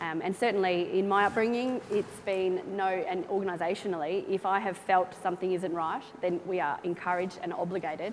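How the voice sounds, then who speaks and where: A woman with an Australian accent speaks at a fairly quick pace. Her pitch is medium and her intonation fairly even. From small-town Australia. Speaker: air force officer, panelist. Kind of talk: panel discussion. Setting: stage with audience.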